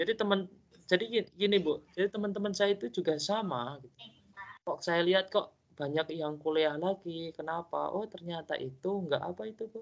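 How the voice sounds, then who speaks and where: This man talks at a moderate pace in a high voice, his pitch varying in an ordinary way. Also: big swings in loudness. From East Java, Indonesia. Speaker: university tutor. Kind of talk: online tutorial discussion.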